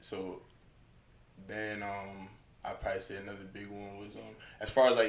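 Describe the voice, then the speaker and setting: A man with an American accent speaks at a moderate pace in a fairly low, monotone, flat voice, with long, frequent pauses. His loudness swings widely, and audible room echo fills the recording. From US South (Atlanta), born Long Island. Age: 20s. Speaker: rapper. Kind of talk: casual interview.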